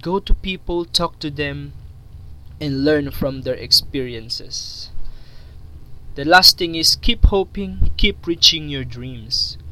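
Speaking in a Filipino accent, a man moves at a very slow pace, pausing long and often while his loudness swings widely. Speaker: YouTuber. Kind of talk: monologue video talk with motivational advice. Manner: halting, repeats words.

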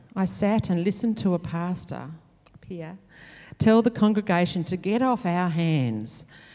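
In a very clean recording with a silent background, a woman with an Australian accent speaks fairly slowly, her medium pitch carrying lively intonation and a dark, mellow tone. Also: big swings in loudness. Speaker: nurse educator. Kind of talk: testimony. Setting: church.

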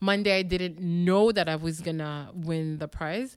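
A woman speaks with a fairly low pitch and ordinary pitch variation. The recording is very clean, with a silent background. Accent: Quebec. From Montreal, Quebec (Parc-Extension), Haitian family. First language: French. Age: 30s. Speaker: TV host and producer. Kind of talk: interview. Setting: stage with audience. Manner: animated.

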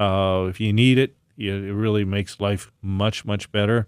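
His voice has a fairly low pitch for a man. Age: 60s. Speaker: naturopathic doctor and natural products maker. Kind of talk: casual chat.

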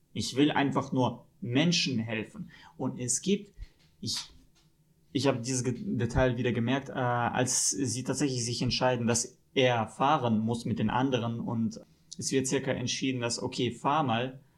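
Here a man speaks with a Russian accent at a medium pitch. His pace is fairly slow, with ordinary pitch variation. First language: Russian (speaking German). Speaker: film podcast guest. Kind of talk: casual chat.

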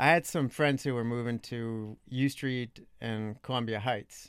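Speaking in an American accent, a man talks at a fairly slow pace with a medium pitch and ordinary pitch variation, in a plain, everyday voice. The recording is very clean, with a silent background. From Long Island, New York. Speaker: blogger. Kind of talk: casual chat. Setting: studio.

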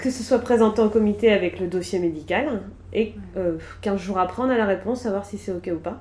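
At a fairly quick pace, a woman talks with a dark, mellow tone. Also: medium pitch for a woman, ordinary pitch variation. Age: 30s. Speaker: childminder sharing personal pregnancy loss story. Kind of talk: personal testimony interview. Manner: hesitant, many fillers.

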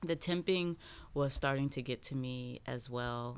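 A woman with an American accent and a very deep, low pitch, at a fairly slow pace with fairly even intonation, on a very clean recording with a silent background. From South Carolina. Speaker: boutique owner. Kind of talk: casual chat.

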